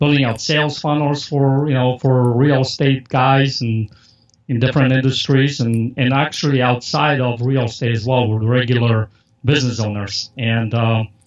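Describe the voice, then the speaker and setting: Speaking at a moderate pace with a Polish accent, a man uses a medium pitch and fairly even intonation. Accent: Polish accent, noticeable. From Poland. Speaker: marketer and podcast host. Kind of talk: interview. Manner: casual, filler-heavy.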